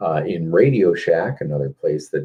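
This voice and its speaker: Here a man speaks with an Upper Midwest accent. He goes at a fairly slow pace. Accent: Upper Midwest American. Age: 50s. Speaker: car audio competitor and live stream host. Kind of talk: casual live stream chat answering viewer comments. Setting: Facebook live video stream.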